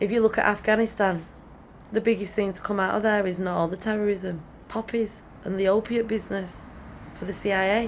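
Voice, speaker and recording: A woman speaks in a Welsh accent with monotone, flat intonation. She leaves long, frequent pauses. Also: medium pitch for a woman, fairly quick pace. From Wales, Brecon Beacons; moved to England at about six. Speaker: teacher. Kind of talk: opinion monologue.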